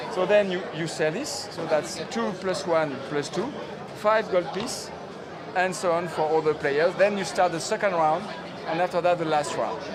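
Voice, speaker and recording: In a French accent, a man with a high pitch speaks at a moderate pace with ordinary pitch variation, audible room echo and crowd noise in the background. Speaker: game publisher representative. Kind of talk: game rules explanation. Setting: game fair. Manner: halting.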